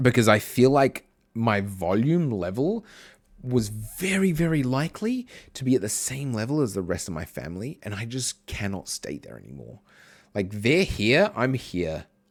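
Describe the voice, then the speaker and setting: A loud man at a moderate pace, medium in pitch, with very wide pitch swings, on a very clean recording with a silent background. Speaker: streamer. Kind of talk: casual chat. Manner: chatty.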